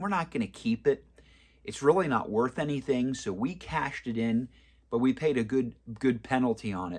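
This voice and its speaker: Speaking at a fairly quick pace, a man uses an ordinary speaking voice with medium pitch and lively intonation over a quiet background. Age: 40s. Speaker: personal finance video creator. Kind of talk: casual advice monologue. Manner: conversational with fillers.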